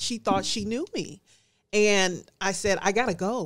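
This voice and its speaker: A woman with a plain, everyday voice speaks at a fairly slow pace. The recording is very clean, with a silent background. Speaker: Air Force veteran, nonprofit founder. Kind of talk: casual interview chat.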